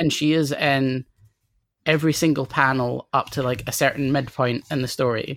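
A woman in a Scottish accent, very deep and low in pitch, at a moderate pace with fairly even intonation, in a dry, close sound with no echo. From Scotland, near Edinburgh. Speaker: comics critic and poet. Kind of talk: casual chat.

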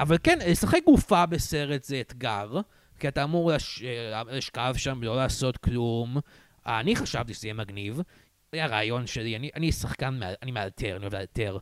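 Recorded very cleanly against a silent background, with dry, close sound and no echo, a man speaks in an ordinary speaking voice at medium pitch, with lively intonation and a moderate pace. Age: 20s. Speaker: podcast host, film student. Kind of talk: casual chat. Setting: studio.

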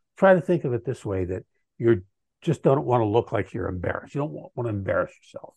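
A man's dark, mellow, somewhat breathy voice makes very wide pitch swings, with a dry, close sound with no echo and a quiet background. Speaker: author. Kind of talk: interview.

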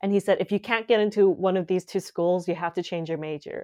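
With a Canadian accent, a woman talks at a medium pitch in a normal speaking voice, her intonation fairly even against a quiet background. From Canada, Calgary. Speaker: writer and performer. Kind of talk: casual interview.

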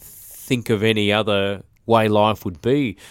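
The recording is very clean and the background silent. A man talks with an Australian accent. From Australia, Brisbane (Birkdale). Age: 40s. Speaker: recording studio owner and musician. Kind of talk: interview. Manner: halting, many fillers.

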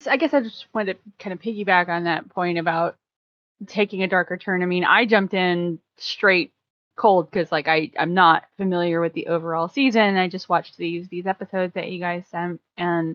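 This woman talks at a fairly quick pace in a plain, everyday voice, with a medium pitch and ordinary pitch variation. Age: 40s. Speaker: podcast guest. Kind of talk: casual chat.

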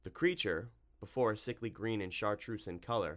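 Ordinary pitch variation in plain reading aloud

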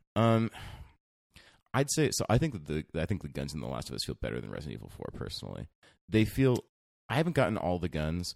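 A man with a very deep, low pitch talks at a very fast pace, his voice showing vocal fry and very wide pitch swings. His loudness swings widely, broken up by long, frequent pauses. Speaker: podcast host. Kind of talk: casual banter.

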